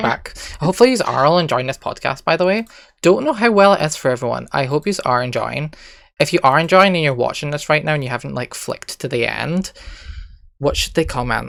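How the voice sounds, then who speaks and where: Someone with a Scottish accent talks at a very fast pace. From Scotland. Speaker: podcast host. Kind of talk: casual podcast conversation.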